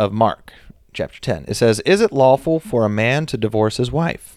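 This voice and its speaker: A man with a medium pitch talks at a moderate pace. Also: very clean recording, silent background. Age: 30s. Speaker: podcast host. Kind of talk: casual chat. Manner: louder than his wife.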